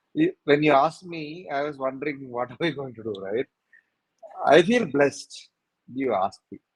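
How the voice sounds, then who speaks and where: With a fairly high pitch, a man speaks at a moderate pace with long, frequent pauses, and the sound is dry and close, with no echo. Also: lively intonation, big swings in loudness. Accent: Tamil. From Tamil Nadu, India. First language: Tamil. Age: 50s. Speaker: career coach. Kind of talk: casual chat. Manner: blunt.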